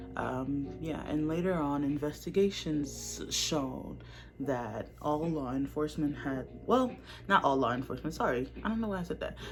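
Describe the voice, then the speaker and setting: The delivery is neither fast nor slow. Music runs underneath it. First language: not English. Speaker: YouTuber. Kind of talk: casual talk to camera. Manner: halting.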